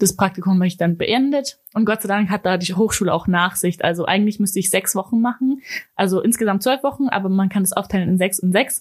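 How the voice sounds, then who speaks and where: Somewhat breathy, a woman speaks at a fairly quick pace and medium pitch with very even loudness. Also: hardly any pauses. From Germany (Ulm), partly Austria. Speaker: university student. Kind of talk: interview. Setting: studio.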